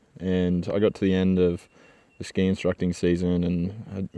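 With an Australian accent, the voice has a dark, mellow tone and flat, monotone intonation, in a dry, close sound with no echo and a quiet background. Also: man. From Australia, Gold Coast, Queensland. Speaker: podcast host, engineer. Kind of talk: solo monologue, personal story. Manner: casual, with many filler words.

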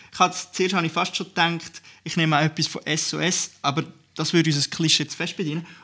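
A man speaks very fast in a bright, sharp tone, his high pitch held in a flat monotone. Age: 20s. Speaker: youth party podcast host. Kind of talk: casual chat.

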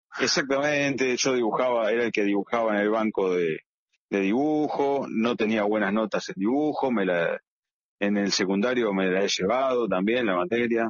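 In a Rioplatense accent, a man talks at a moderate pace and a medium pitch, with ordinary pitch variation and very even loudness. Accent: Argentine Rioplatense Spanish. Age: 50s. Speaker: comic book illustrator. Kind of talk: interview. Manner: halting, many repetitions.

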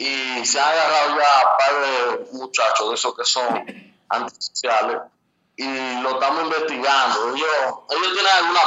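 At a moderate pace, a man talks in an unremarkable speaking voice. His pitch is fairly high, with ordinary pitch variation. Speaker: community center committee member. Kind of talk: phone-in interview.

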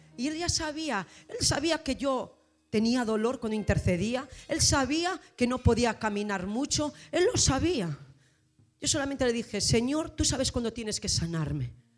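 A woman's animated, high voice with very wide pitch swings at a moderate pace. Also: very clean recording, silent background. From Spain, Asturias (Gijón). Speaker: pastor. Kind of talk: sermon.

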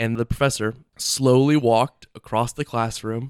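A man's normal speaking voice at medium pitch and moderate pace, dry and close with no echo, on a very clean recording with a silent background. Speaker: college podcast co-host. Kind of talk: casual chat.

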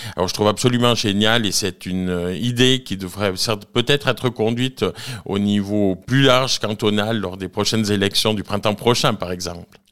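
A man with a plain, everyday voice speaks at a fairly low pitch with fairly even intonation on a very clean recording over a silent background. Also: moderate pace. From Switzerland, Valais (Nendaz). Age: 40s. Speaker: cantonal politician. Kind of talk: radio interview. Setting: live radio from a bar venue.

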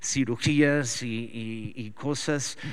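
With ordinary pitch variation, a man talks on a very clean recording against a silent background. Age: 40s. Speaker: pastor. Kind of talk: sermon. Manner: halting.

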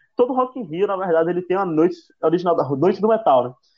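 In a northeastern Brazilian accent, a man speaks in a high voice with very wide pitch swings. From Brazil, Northeast. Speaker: podcast co-host. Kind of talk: casual chat. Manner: halting.

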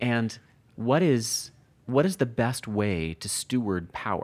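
A man with a normal speaking voice, fairly low pitch and lively intonation is heard on a very clean recording with a silent background. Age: 40s. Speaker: Bible editor and author. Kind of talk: interview conversation.

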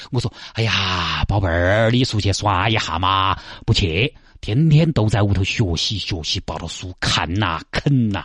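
Against a quiet background, a man with a Sichuan accent speaks fairly slowly at a fairly low pitch, his voice somewhat breathy. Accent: Sichuanese dialect. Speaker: radio traffic show host. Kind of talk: radio talk show commentary. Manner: animated.

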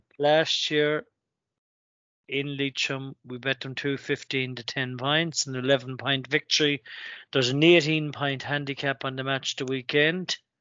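A man with an Irish accent speaks at a fairly slow pace in a fairly high, flat, monotone voice. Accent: Irish (Mayo). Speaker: sports podcast co-host. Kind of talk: casual chat.

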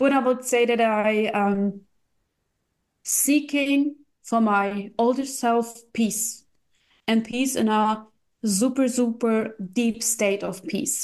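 Very slowly, a woman speaks with a German accent at a fairly high pitch. Her pauses are long and frequent. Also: fairly even intonation. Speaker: crypto investor and coach. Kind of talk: casual chat.

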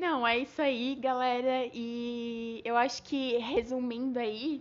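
This woman's voice sits fairly high. The intonation hardly rises or falls, staying fairly even. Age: 20s. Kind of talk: casual chat on faith.

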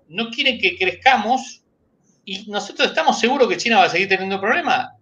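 A man speaks in a raised, projected voice with a bright, sharp tone. His intonation is lively. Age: 60s. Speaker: animal science engineer, pork industry association leader. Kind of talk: interview.

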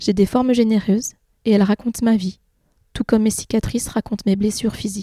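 Fairly high-pitched woman's voice, dark and mellow in tone, somewhat breathy, with a monotone, flat delivery. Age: 30s. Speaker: patient sharing her weight story. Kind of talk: testimony.

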